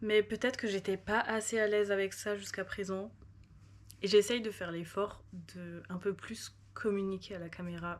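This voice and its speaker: The intonation is monotone and flat, with big swings in loudness. The pace is moderate. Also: woman, medium pitch for a woman. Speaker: vlogger. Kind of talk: casual vlog talk to camera. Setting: at home at night. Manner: casual, filler-heavy.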